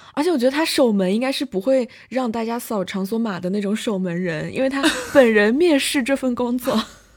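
Lively intonation at a fairly quick pace, amid noticeable background noise. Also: woman, fairly high pitch for a woman. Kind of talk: casual chat. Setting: university dorm during campus lockdown.

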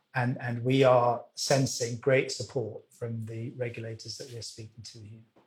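A somewhat breathy male voice, flat and monotone, with big swings in loudness and hardly any pauses. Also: medium pitch for a man, moderate pace. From Wales. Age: old. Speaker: finance industry executive. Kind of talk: interview. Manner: hesitant, many fillers.

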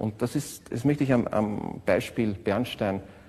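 A man speaks at a fairly low pitch in a dark, mellow tone. His voice is somewhat breathy, with ordinary pitch variation. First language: German. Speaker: orchestra musician. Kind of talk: interview reminiscence.

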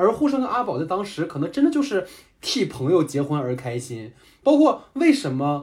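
Pitched fairly high, a man's voice rises and falls in very wide swings while he keeps a moderate pace. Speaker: podcast host and moderator. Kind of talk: casual chat. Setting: remote online recording.

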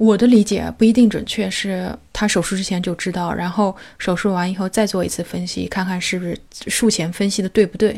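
Very clean recording, silent background. A woman talks at a fairly quick pace in a medium pitch with monotone, flat intonation. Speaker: podcast host. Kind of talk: interview.

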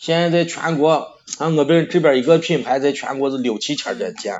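A man with a slight Shaanxi accent. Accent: slight Shaanxi (Xianyang). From Xianyang, Shaanxi, China. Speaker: barbecue restaurant owner. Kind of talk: casual chat.

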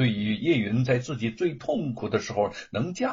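Lively intonation in plain reading aloud

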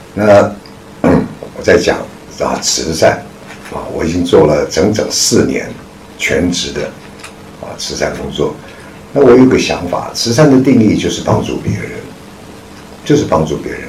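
A man talks at a fairly slow pace with long, frequent pauses. Audible room echo and noticeable background noise are present. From Taiwan. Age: 60s. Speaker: charity foundation chairman, retired businessman. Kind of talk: public lecture. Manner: halting, frequent fillers.

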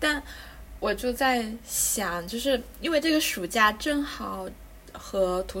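Her speech, a woman's, has ordinary pitch variation. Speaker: podcast host. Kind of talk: casual interview chat.

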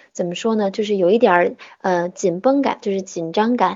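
Fairly quick speech from a woman, medium in pitch, with ordinary pitch variation. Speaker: English pronunciation teacher. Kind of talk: online lesson. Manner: raised, tense voice when speaking English.

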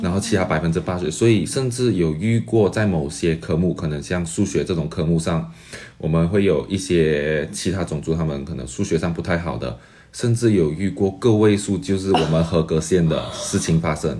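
Speaking at a moderate pace, a man uses a very deep, low voice with a dark, mellow tone, vocal fry and lively intonation. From Malaysia. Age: 20s. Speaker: graduate student and entrepreneur. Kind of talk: interview.

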